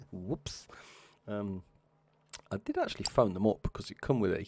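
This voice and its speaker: A quiet man with an English accent and a fairly low pitch. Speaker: video game streamer. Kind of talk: live gameplay stream commentary. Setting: at home, live stream at 3 am. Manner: talking very quietly.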